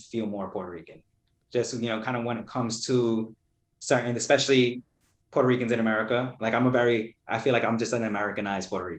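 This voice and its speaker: Speaking at a very fast pace, a man keeps a medium pitch. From Brooklyn, New York. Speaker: poet. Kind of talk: casual interview chat.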